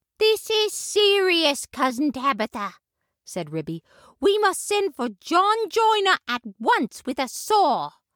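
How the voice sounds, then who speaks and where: This female-sounding voice is a put-on character voice, extremely high in pitch, with very wide pitch swings and a fairly slow pace. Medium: audio drama. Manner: brisk, matter-of-fact.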